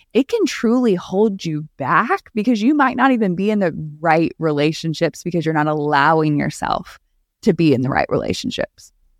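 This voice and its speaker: In a dry, close sound with no echo and a quiet background, a woman with a plain, everyday voice speaks at a moderate pace with lively intonation. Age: 30s. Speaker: YouTube personality. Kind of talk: casual chat.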